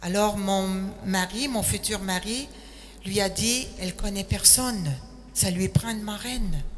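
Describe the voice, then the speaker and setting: Noticeable background noise accompanies a woman speaking at a very slow pace. Her medium-pitched voice shows ordinary pitch variation. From Quebec, Quebec City. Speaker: retired nurse, missionary. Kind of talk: testimony.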